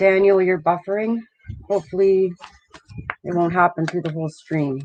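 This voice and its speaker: At a moderate pace, a woman speaks in a fairly low voice with fairly even intonation. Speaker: channel host. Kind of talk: live stream chat. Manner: loud.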